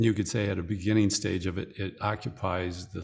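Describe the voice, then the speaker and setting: A man's very deep, low, somewhat breathy voice, fairly even in intonation, at a very slow pace. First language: English (speaking French). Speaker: spiritual teacher. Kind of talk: interview. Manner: measured, in short phrases.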